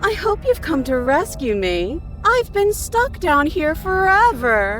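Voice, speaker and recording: A put-on character voice, high in pitch, moves at a fairly slow pace. Background noise is clearly heard. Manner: needy.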